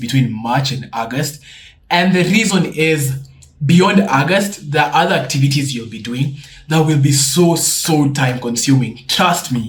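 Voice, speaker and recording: In a room with audible echo, a man speaks at a moderate pace in a fairly high voice with ordinary pitch variation. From Kenya. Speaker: student YouTuber. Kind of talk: tutorial. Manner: casual.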